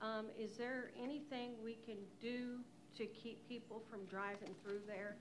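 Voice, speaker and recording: A woman speaks fairly slowly at a fairly high pitch in a flat monotone, with audible room echo and noticeable background noise. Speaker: resident speaking at public meeting. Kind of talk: public comment. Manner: soft-spoken. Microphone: far from the microphone.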